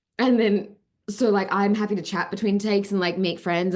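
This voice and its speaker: Speaking with an Australian accent, a woman keeps a moderate pace. Her tone is animated. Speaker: actress. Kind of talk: interview.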